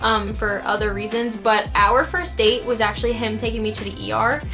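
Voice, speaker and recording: A woman is speaking. Music is playing in the background. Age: young. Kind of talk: casual talk to camera.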